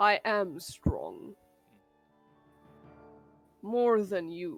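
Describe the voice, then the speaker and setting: A woman puts on a rumbling character voice at a medium pitch, with faint music playing in the background. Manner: blunt, boastful.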